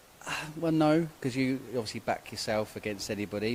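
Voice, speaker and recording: Over noticeable background noise, a man with an English accent talks fairly quickly, his pitch varying in an ordinary way. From England. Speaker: short mat bowls player. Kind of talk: post-match interview.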